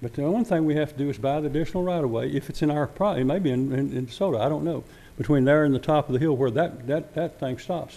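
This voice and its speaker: Talking at a very fast pace with a Texas accent, this man has a fairly high pitch and ordinary pitch variation. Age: 70s. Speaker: former city council member. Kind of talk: public comment at council meeting. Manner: halting, repetitive.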